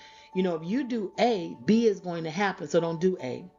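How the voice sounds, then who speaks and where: Over music in the background, a woman with an American accent speaks at medium pitch and a moderate pace with ordinary pitch variation. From Florida. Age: 60s. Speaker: podcast host and teacher. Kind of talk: podcast monologue.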